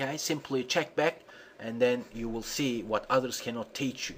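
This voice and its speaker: A man speaks in an unremarkable speaking voice. His pace is moderate and his pitch varies in an ordinary way. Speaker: SEO tutorial presenter. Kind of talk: tutorial.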